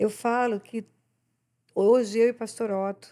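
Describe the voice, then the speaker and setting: Her voice sits fairly high. A woman's tone comes through dark and mellow. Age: 70s. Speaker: pastor. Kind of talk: podcast interview, preaching.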